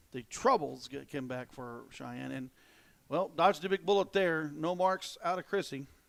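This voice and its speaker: A man with an Ozark accent speaks at a fairly high pitch with ordinary pitch variation and big swings in loudness, on a very clean recording with a silent background. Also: moderate pace. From Ozarks, American South. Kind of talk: casual commentary.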